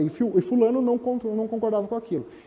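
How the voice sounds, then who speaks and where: The pace here is very fast. It is a man speaking. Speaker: speaker on project management. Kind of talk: lecture. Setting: stage with audience.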